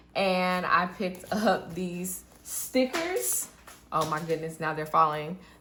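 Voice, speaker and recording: A bright, sharp tone comes at a very slow pace, with audible room echo. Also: woman, fairly low pitch for a woman, ordinary pitch variation. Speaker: budgeting vlogger. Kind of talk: casual vlog tutorial.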